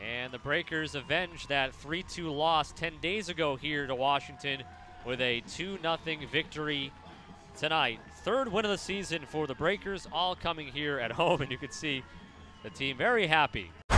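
The speaker has an excited tone and ordinary pitch variation at a moderate pace. Music plays in the background. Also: man, fairly high pitch for a man. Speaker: soccer play-by-play commentator. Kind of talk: live sports commentary, play-by-play over match highlights. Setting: stadium broadcast booth. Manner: clipped, excited calls that build at goals.

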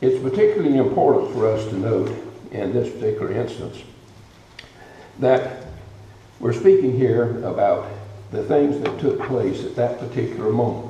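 A man at a moderate pace, with long, frequent pauses, light background noise and audible room echo. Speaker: guest preacher. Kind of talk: sermon. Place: church. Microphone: podium.

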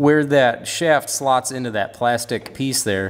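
The man talks with ordinary pitch variation. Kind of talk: tutorial. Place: garage.

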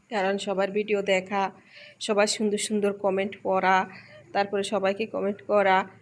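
A woman speaks at a medium pitch with very even loudness and a monotone, flat intonation. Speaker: lifestyle vlogger. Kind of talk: casual vlog talk.

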